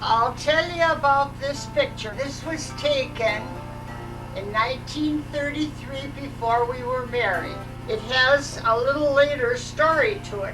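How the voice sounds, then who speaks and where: Over music in the background, a woman with an American accent talks at a fairly slow pace. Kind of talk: home video life story telling. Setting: home VHS recording.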